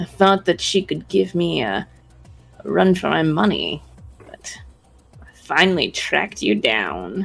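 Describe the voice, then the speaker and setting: Pausing long and often, a put-on character voice at a middle pitch moves at a fairly slow pace over faint background music. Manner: sneering, menacing.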